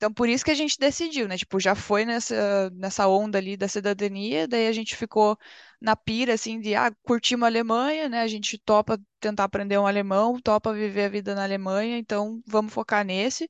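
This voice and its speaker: In a normal speaking voice, a woman talks at a fairly quick pace and fairly high pitch with ordinary pitch variation, in a dry, close sound with no echo against a quiet background. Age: 20s. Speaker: PhD student, chemist. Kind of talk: casual interview.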